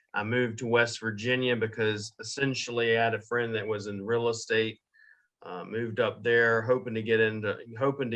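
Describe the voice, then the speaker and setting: A man speaks at a moderate pace in a medium pitch, his bright, sharp tone held in a flat monotone. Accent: Southern US. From US South, Jacksonville, Florida. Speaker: digital marketing agency owner. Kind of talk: podcast interview.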